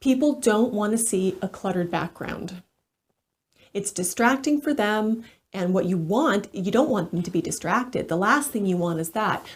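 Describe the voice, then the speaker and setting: Somewhat breathy and medium in pitch, a woman talks at a moderate pace with lively intonation. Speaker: executive voice coach. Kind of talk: casual talk to camera.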